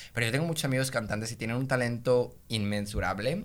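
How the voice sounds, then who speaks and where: A plain, everyday voice from a man at medium pitch, moving at a fairly quick pace. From Mexico, Monterrey. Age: 20s. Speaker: singer and content creator. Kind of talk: casual chat.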